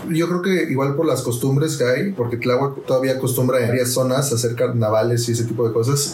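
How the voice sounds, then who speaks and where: Fairly quick speech with very even loudness and hardly any pauses, over noticeable background noise. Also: man, medium pitch for a man, ordinary pitch variation. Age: 20s. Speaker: interviewee, young listener. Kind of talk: casual interview.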